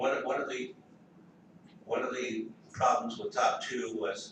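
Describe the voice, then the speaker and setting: A man speaks with audible room echo. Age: 70s. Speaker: political activist. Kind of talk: panel talk. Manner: halting, many repetitions.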